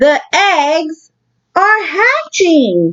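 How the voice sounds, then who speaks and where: Squeaky and extremely high-pitched, a woman's put-on character voice carries the clip. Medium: read story. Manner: calm, matter-of-fact.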